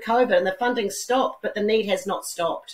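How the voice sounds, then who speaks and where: Someone with a New Zealand accent talks at a fairly quick pace with ordinary pitch variation. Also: woman. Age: 60s. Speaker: businesswoman and philanthropist. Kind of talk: interview.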